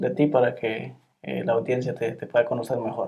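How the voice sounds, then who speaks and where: In an ordinary speaking voice, a man talks at a moderate pace with ordinary pitch variation. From Guatemala. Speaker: YouTube channel host. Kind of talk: interview. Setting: in person, not over Zoom.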